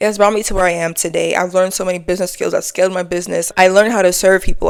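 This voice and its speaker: A woman speaks with an American accent at a medium pitch. Her intonation is monotone and flat. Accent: New York accent, faint, comes out at times. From New York City (the Bronx). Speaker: lifestyle and faith vlogger. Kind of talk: casual to-camera talk. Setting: sitting on couch at home. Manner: chill, relaxed.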